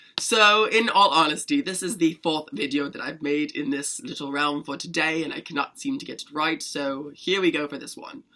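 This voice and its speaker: In a put-on character voice with a British accent, the speaker sounds raspy, with lively intonation, a moderate pace and hardly any pauses. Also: man, fairly high pitch for a man. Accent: fake British. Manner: feeling crazy and spriteful.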